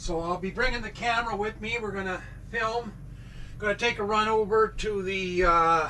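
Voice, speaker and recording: A man's raised, projected voice in a Canadian accent, bright and sharp in tone, fairly slow, with ordinary pitch variation. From Canada. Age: 60s. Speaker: vlogger. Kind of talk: casual vlog talk. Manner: rambling, hesitant with many fillers.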